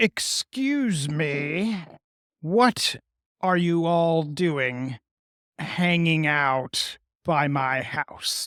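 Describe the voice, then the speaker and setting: Using a put-on character voice, the speaker talks gruffly at a middle pitch and a very slow pace, leaving long, frequent pauses. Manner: confronting.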